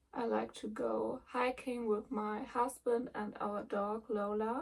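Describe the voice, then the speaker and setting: A woman speaks in a fairly high voice with monotone, flat intonation. Her tone is relaxed. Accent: German. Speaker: cross-stitch vlogger. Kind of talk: casual vlog chat. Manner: relaxed, hesitant with many ums.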